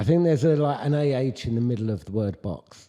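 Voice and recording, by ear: With a British accent, a man talks at a very fast pace in a medium pitch. His tone is dark and mellow, and his intonation is lively.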